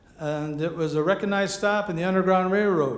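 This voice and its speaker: Against noticeable background noise and audible room echo, a man with an American accent speaks at a fairly quick pace. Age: 70s. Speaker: farmer and auctioneer, award winner. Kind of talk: acceptance speech.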